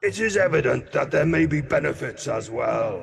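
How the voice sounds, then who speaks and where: In a put-on character voice, a man growls at a moderate pace, resonant and fairly high in pitch. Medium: actual play. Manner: grave, measured.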